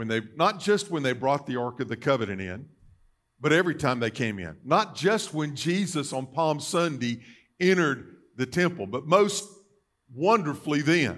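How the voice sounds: A man's fairly high, fairly bright voice with big pitch swings at a moderate pace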